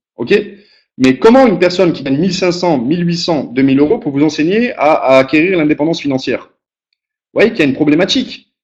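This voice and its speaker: A man talks at a fairly quick pace in a fairly high pitch, his intonation lively and his loudness swinging widely. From southern France, Aix-Marseille region. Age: 30s. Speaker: motivational speaker, business founder. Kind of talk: motivational webinar talk. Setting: web conference call. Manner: conversational, repetitive emphasis.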